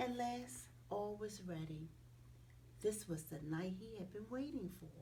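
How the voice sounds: A woman at a fairly slow pace, medium pitch and lively intonation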